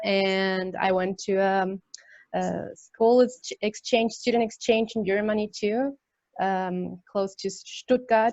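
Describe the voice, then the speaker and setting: At a very slow pace, a woman speaks in a medium pitch with fairly even intonation. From Chile. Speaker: language tutor. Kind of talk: webinar.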